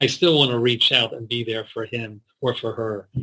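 In a bright, sharp tone, a man speaks with an American accent. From US, Baltimore, Maryland. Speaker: rabbi and school principal. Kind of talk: interview. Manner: halting.

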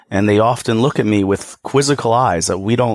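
With an American accent, a man talks at a moderate pace in an unremarkable speaking voice, fairly low in pitch, with lively intonation. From New York. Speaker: employee benefits advisor. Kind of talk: interview.

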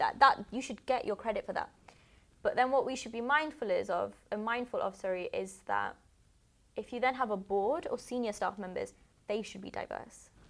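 The speaker is a woman with a British accent. She talks at a moderate pace. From England. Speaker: tech network founder. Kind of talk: casual interview. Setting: studio.

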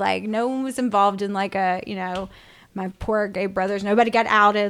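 In an ordinary speaking voice, a woman at medium pitch speaks at a moderate pace on a very clean recording with a silent background. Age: 40s. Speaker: podcast host and professional storyteller. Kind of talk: casual chat. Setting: at co-host's house.

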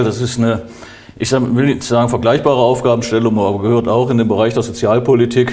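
Over noticeable background noise and audible room echo, a man talks in a medium pitch with monotone, flat intonation. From Germany, northern Hesse. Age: 60s. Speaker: mayor and election candidate. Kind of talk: interview. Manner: formal.

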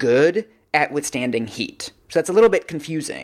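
A man talks in a normal speaking voice, fairly high in pitch, at a moderate pace. His intonation is lively, and the recording is very clean with a silent background. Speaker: reporter and podcast co-host. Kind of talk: casual chat.

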